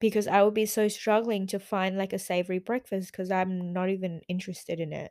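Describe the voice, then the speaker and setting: In a monotone, flat intonation, a woman at medium pitch talks at a fairly quick pace with hardly any pauses. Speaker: podcast host. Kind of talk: casual solo monologue. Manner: hesitant, many fillers.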